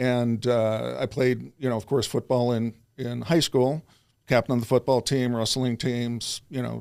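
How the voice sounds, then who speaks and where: A man's medium-pitched voice in an American accent, fairly slow, with monotone, flat intonation. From US Midwest, Chicago suburbs. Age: 60s. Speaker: self-improvement coach. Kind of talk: interview conversation.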